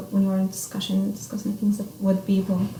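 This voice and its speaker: A woman speaks at a moderate pace in an Arabic accent, her pitch medium for a woman. Her intonation stays monotone and flat, with noticeable background noise behind her. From Saudi Arabia. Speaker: international college student. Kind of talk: interview. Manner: halting.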